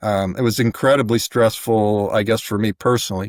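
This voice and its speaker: A man speaks at a medium pitch and a moderate pace, with fairly even intonation. The recording is very clean, with a silent background and a dry, close sound free of echo. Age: 60s. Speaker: church lay leader. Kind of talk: testimony. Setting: podcast interview. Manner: halting.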